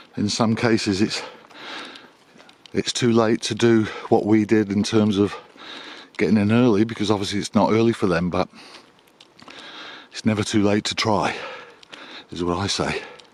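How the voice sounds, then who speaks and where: Sounding relaxed, a man with a fairly low pitch talks at a moderate pace in a monotone, flat way, with long, frequent pauses and noticeable background noise. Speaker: small business owner and vlogger. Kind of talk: casual vlog monologue. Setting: outdoors on a dog walk. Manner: relaxed with frequent hesitations.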